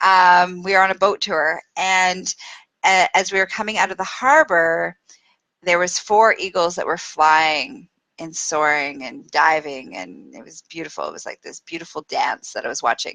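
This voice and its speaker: A woman in a Canadian accent at a medium pitch and moderate pace, with lively intonation and big swings in loudness. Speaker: spiritual teacher. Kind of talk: casual livestream talk. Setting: Facebook live video. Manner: animated.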